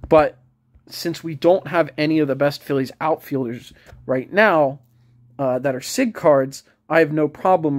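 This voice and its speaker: A man mumbles his words. His pitch varies in an ordinary way. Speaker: mobile game YouTuber. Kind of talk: casual gameplay commentary. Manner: mumbling; hesitant, many fillers.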